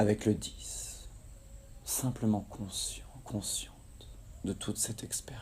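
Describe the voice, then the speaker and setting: At a very slow pace with long, frequent pauses, a man speaks in a calm, soothing tone. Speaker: hypnotherapist guiding a relaxation session. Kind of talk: guided hypnosis relaxation. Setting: recorded outdoors in tropical nature in Kerala, India, with nature sounds. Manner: slow, calm, soothing.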